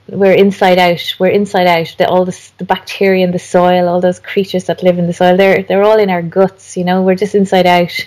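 A woman's medium-pitched voice in an Irish accent, fairly quick and flat, monotone, with hardly any pauses. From Ireland. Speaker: garden designer and author. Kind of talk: interview conversation.

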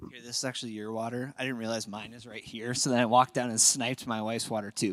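Here a man speaks with an Upper Midwest accent. The recording is very clean and the background silent. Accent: Upper Midwest American. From Minnesota, Apple Valley. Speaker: pastor. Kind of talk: sermon. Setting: church.

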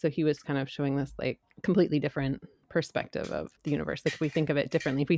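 The intonation stays fairly even, with vocal fry throughout. The recording is very clean and dry, close-miked with a silent background and no echo. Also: woman. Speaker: book club guest. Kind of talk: casual book discussion.

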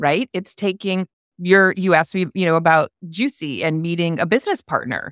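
In an ordinary speaking voice, a woman talks at a moderate pace with a fairly low pitch and ordinary pitch variation. The recording is very clean and silent behind her, with a dry, close sound and no echo. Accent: American. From upstate New York. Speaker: coworking consultant and educator. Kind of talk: casual interview chat.

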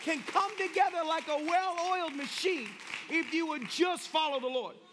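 Over crowd noise, a man with a Tennessee accent talks in an animated tone at an extremely high pitch and a moderate pace, with ordinary pitch variation. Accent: Tennessee Southern. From US South, Tennessee. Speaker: pastor. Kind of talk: sermon. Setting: church with live audience.

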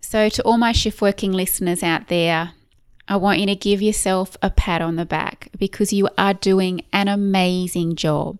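In an Australian accent, a woman speaks at a moderate pace with fairly even intonation on a very clean recording with a silent background. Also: medium pitch for a woman. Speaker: podcast host, clinical nutritionist. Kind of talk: solo podcast monologue.

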